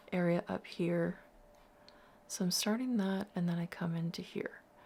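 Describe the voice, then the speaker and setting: Soft-spoken and at a medium pitch, a woman talks at a fairly slow pace with fairly even intonation in a very clean recording with a silent background. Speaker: art tutor. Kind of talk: tutorial.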